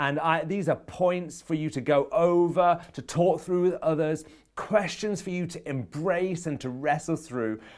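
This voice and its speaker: With hardly any pauses, a man speaks at a fairly slow pace and a high pitch on a very clean recording with a silent background. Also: ordinary pitch variation. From English Midlands. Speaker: performance and productivity coach. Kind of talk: motivational talk.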